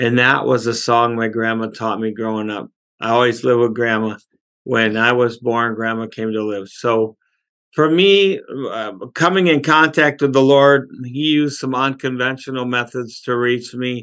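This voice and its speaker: A man with an unremarkable speaking voice talks at medium pitch and a moderate pace, with ordinary pitch variation. The background is quiet. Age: 60s. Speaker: pastor and author. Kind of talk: testimony.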